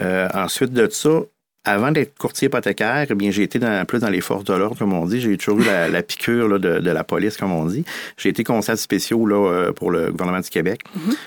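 A man's fairly low-pitched, fairly quick delivery in a normal speaking voice, with ordinary pitch variation, in a very clean recording with a silent background. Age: 40s. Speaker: mortgage broker. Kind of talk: casual interview.

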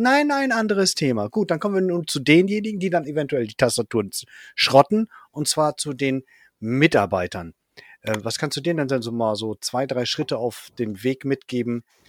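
On a very clean recording with a silent background and a dry, close sound with no echo, a man speaks at a fairly high pitch with very wide pitch swings. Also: moderate pace. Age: 40s. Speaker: podcast host. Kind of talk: casual interview.

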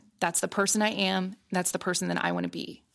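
A woman speaks at a medium pitch with vocal fry. Her intonation is monotone and flat on a very clean recording with a silent background. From US Midwest, Columbus, Ohio. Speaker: meteorologist, former TV weather presenter. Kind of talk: interview conversation.

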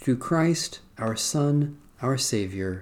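This is a normal speaking voice with lively intonation. It moves at a fairly slow pace. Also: man. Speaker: worship leader. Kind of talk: liturgical prayer service, reading aloud and fervent prayer. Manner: fervent, solemn, earnest, devotional; measured, formal liturgical cadence.

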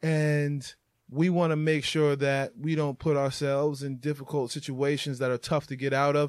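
At a moderate pace, a man speaks at a fairly high pitch in a monotone, flat intonation. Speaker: podcast host. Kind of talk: casual chat.

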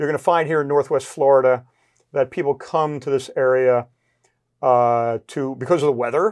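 Against a quiet background, a man with an unremarkable speaking voice talks fairly quickly at a fairly high pitch, with ordinary pitch variation. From New Jersey. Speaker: chamber of commerce president. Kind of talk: casual interview. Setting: studio.

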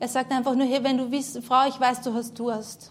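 A woman speaks in a high pitch with fairly even intonation. Audible room echo surrounds her voice. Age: 30s. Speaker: preacher. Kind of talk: sermon testimony. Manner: halting.

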